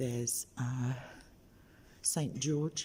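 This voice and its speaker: Quiet and somewhat breathy, a man with an English accent speaks in a dark, mellow tone with fairly even intonation. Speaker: street preacher livestreamer. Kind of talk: live stream tour. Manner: speaking quietly.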